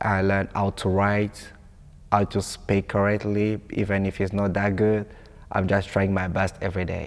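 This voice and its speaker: In a non-native accent, a man talks at a moderate pace with a fairly low pitch and monotone, flat intonation on a very clean recording with a silent background. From Congo. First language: French. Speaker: international student. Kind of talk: interview testimony.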